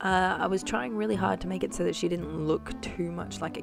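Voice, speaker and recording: A woman with an Australian accent over music in the background. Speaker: doll customiser. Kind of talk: tutorial voice-over. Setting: voice-over. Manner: casual, hesitant.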